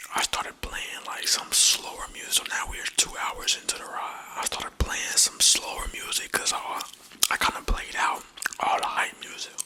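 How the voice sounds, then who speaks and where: A man whispers at a moderate pace. Noticeable noise fills the background. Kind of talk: ASMR storytelling ramble. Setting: studio, binaural ear-to-ear microphone. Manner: animated, telling a car wreck story.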